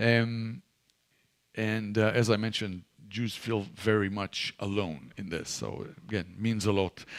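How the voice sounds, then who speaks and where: A man with an Israeli accent speaks at a fairly low pitch. His pace is fairly slow and his intonation fairly even. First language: Hebrew. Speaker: ministry leader and guest speaker. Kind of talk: church talk. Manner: halting, many fillers and repeats.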